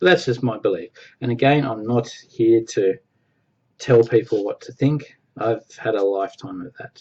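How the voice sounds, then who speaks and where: At a moderate pace, a man with an Australian accent talks at medium pitch in a somewhat breathy voice. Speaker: former Jehovah's Witness vlogger. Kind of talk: casual personal vlog. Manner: hesitant, with fillers and repetitions.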